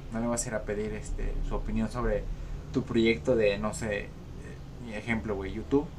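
With audible room echo, a man speaks at a moderate pace, leaving long, frequent pauses. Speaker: podcast co-host. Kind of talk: casual chat.

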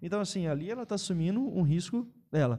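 A man talks very fast in a high pitch with lively intonation. His tone is dark and mellow. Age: 20s. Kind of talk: casual chat.

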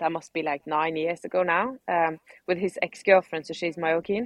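A woman talks at a moderate pace with fairly even intonation. Her pitch is fairly low. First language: not English. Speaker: CrossFit athlete. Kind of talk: interview. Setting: video call.

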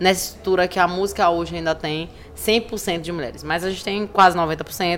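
There is noticeable background noise. A woman speaks at a medium pitch with ordinary pitch variation. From Recife, Pernambuco, Brazil. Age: 30s. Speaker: cultural producer and activist. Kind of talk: podcast interview. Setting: recorded at a literary festival. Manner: animated.

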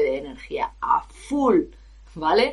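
A woman with a Spanish accent. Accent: Peninsular Spanish. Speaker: professional singer and vocal coach. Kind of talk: podcast monologue. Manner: animated.

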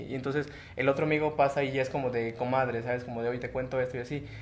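A man at medium pitch, very fast and flat, monotone, with audible room echo. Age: 20s. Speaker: guest in a polyamorous relationship. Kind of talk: casual chat.

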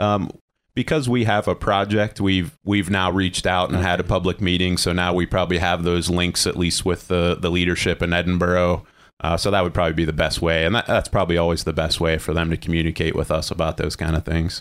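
On a very clean recording with a silent background, a man with an American accent and a very deep, low pitch speaks at a very fast pace with fairly even intonation and very even loudness. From western Pennsylvania. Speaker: transportation department official. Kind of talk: radio interview.

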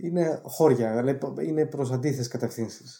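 Somewhat breathy and dark, mellow in tone, the man's medium-pitched voice moves with ordinary pitch variation. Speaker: film director and screenwriter. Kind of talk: interview. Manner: hesitant, many filler sounds.

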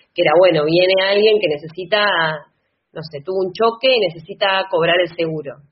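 A woman's ordinary speaking voice at medium pitch, with a fairly quick pace and ordinary pitch variation. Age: 30s. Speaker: lawyer and political candidate. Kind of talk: interview.

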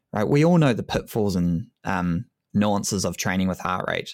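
In a very clean recording with a silent background, the speaker uses a New Zealand accent at a moderate pace with ordinary pitch variation. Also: man. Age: 30s. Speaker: endurance coach and sport scientist. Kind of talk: casual interview.

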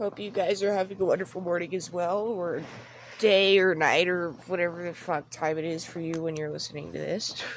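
This woman talks at a fairly quick clip with a fairly low pitch and fairly even intonation, with noticeable background noise behind her. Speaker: podcast host. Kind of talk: casual chat.

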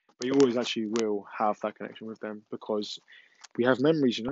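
A man with an English accent speaks very fast at a medium pitch. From England. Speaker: mental health podcaster. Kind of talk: solo podcast monologue. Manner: hesitant, many fillers.

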